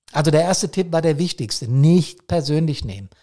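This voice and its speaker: A man with a fairly high pitch speaks with lively intonation at a moderate pace. His tone is dark and mellow, somewhat breathy, on a very clean recording with a silent background. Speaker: podcast host, fire service officer. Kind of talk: solo podcast monologue. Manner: hectic; frequent fillers and repetitions.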